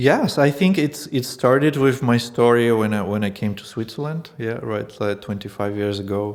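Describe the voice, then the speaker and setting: With a Russian accent, a man speaks at a moderate pace with hardly any pauses. His pitch variation is ordinary. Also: medium pitch for a man. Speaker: language school founder. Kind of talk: casual interview. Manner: halting.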